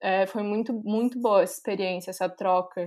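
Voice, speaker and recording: A woman with an ordinary speaking voice, fairly high in pitch, fairly even in intonation, at a moderate pace over a quiet background. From Brazil, Florianópolis, Santa Catarina. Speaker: civil engineer, master's student. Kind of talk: casual interview.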